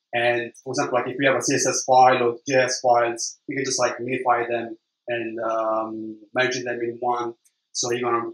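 Moderate in pace, the speech carries an Italian accent. It moves along evenly at that speed. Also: man. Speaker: web developer. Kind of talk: conference talk. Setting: stage with audience. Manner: halting.

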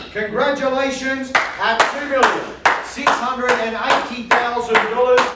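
Very slowly, a man speaks in an extremely high voice with audible room echo. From Australia. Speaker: property auctioneer. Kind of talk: live property auction call. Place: studio.

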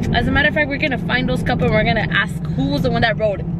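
Loud background noise around a woman's dry voice, free of any echo. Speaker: family vlogger. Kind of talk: casual vlog chat. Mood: playful, teasing. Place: car. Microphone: phone near.

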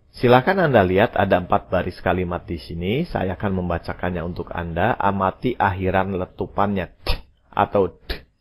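On a very clean recording with a silent background, a man with a very deep, low pitch talks with hardly any pauses and fairly even intonation. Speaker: English teacher. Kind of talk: language lesson.

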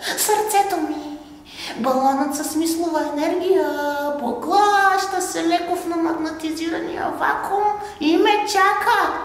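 Doing a put-on character voice, a woman speaks at an extremely high pitch with strong echo around her. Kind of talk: stage monologue. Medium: stage play. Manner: wondering, precise, awed.

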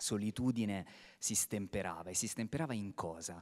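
Fairly low in pitch, a man talks with ordinary pitch variation over a quiet background. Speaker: theatre director; theatre director on a panel. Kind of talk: panel talk. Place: stage. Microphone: handheld.

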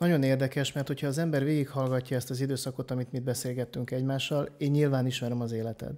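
Talking at a very fast pace, a man leaves hardly any pauses. His tone is dark and mellow, with monotone, flat intonation. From Hungary. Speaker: podcast host, personal development coach. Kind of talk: interview. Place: home room. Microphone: studio mic.

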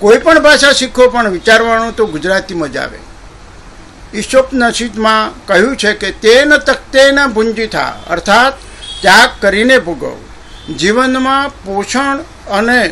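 A man's raised, projected voice, extremely high-pitched, with ordinary pitch variation and noticeable background noise. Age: 70s. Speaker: presenter. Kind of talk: prepared speech. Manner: formal.

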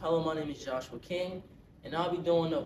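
A man talks fairly quickly, and noticeable background noise can be heard throughout. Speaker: actor doing an audition monologue. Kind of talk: dramatic monologue performance. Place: home room. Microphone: camera far.

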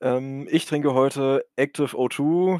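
A man with a northern German accent speaks at a medium pitch with ordinary pitch variation, the sound dry and close with no echo on a very clean recording over a silent background. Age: 20s. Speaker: tabletop tournament player. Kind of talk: casual chat.

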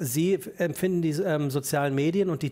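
A man's fairly high-pitched voice with a dark, mellow tone and fairly even intonation. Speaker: talk show host. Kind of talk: talk show interview questions. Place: studio. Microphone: headset.

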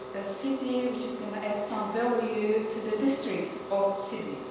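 Amid noticeable background noise and strong room echo, a woman speaks at a moderate pace. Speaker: speaker. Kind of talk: lecture. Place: classroom. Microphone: camera far.

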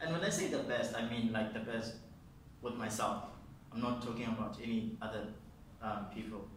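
Amid audible room echo and light background noise, a man speaks at a moderate pace with fairly even intonation and long, frequent pauses. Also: medium pitch for a man. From South Africa, Eastern Cape. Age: 20s. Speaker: painter. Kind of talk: interview. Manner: halting, many repetitions and fillers. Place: studio.

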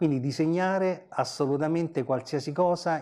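This man's dark, mellow tone is heard over a quiet background. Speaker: comic artist and teacher. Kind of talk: interview answer. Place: studio.

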